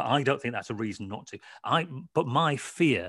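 A man's lively intonation comes through at a moderate pace. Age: 40s. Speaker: football author. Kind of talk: interview. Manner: halting.

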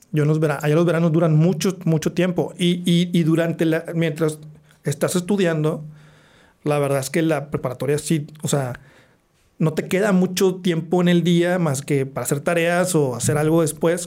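A man with a dark, mellow tone and fairly high pitch talks at a moderate pace with fairly even intonation. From Monterrey, northern Mexico (teen years in the US). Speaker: architect. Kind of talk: casual interview.

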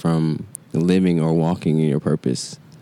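Noticeable background noise runs under this recording. A man with an American accent speaks in a very deep, low voice with fairly even intonation. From Atlanta, Georgia (US South). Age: 20s. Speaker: community event organizer. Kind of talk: casual chat.

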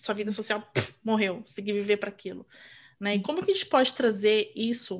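Quick-ish and fairly high in pitch, a woman talks. Her pace is fairly quick. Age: 40s. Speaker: podcast co-host and mother. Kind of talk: casual chat. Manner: animated.

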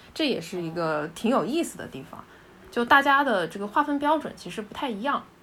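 A woman's fairly high voice moves through very wide pitch swings. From Hunan, China. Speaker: dialectology graduate. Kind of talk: casual chat.

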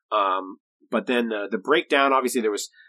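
A man's bright, sharp voice, recorded dry and close with no echo. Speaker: tabletop gaming podcast host. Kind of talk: casual chat.

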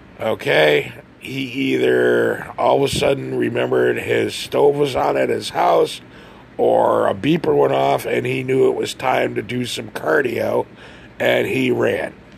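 Noticeable noise sits in the background while a man speaks fairly slowly. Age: 50s. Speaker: podcaster. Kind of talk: solo rant. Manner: animated.

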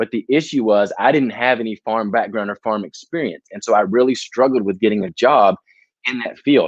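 Dry and close with no echo, a man with an American accent speaks in an ordinary speaking voice at medium pitch, with ordinary pitch variation and a fairly quick pace. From US South, Tennessee near Nashville. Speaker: education speaker and consultant. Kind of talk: casual interview.

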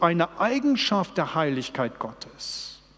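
Very slow speech against noticeable background noise. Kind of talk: sermon. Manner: earnest, personal, urgent; direct, pleading, with rhetorical questions.

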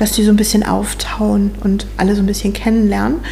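Moderate-paced speech from a woman, amid noticeable background noise and audible room echo. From northern Germany, near Hamburg. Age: 40s. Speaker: optician and children's church volunteer. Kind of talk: casual interview chat. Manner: hesitant, many fillers.

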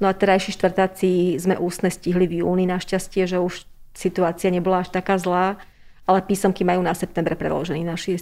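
This woman speaks very fast in a flat, monotone delivery. Her medium-pitched voice has a dark, mellow tone. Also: very clean recording, silent background. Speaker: teacher and deputy head. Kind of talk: interview.

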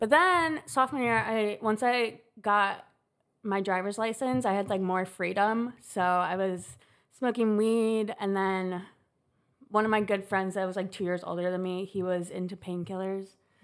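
A woman with a plain, everyday voice and an American accent speaks at a moderate pace and medium pitch with ordinary pitch variation on a very clean recording with a silent background. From Chicago. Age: 20s. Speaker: college student in recovery. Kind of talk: casual chat.

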